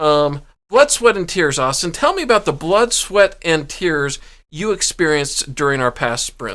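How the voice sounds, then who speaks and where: A man with a high, squeaky voice and a bright, sharp tone speaks at a moderate pace with lively intonation, recorded very cleanly against a silent background. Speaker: podcast co-host. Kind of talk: casual chat.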